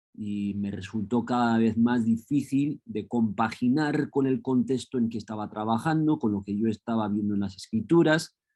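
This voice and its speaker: Speaking with a Spanish accent, a man uses a medium pitch, a dark, mellow tone and ordinary pitch variation. He keeps a moderate pace with hardly any pauses. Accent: Spain Spanish. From Los Angeles, US. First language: English (speaking Spanish). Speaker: professor. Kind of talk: lecture. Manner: hesitant with frequent fillers.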